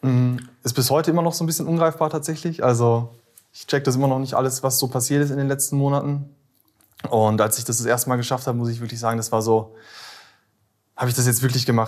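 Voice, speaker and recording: A man at medium pitch races along at a very fast pace, broken by long, frequent pauses. His intonation stays fairly even. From Ruhr area, Germany (Bottrop). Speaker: former police officer turned copywriter. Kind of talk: interview.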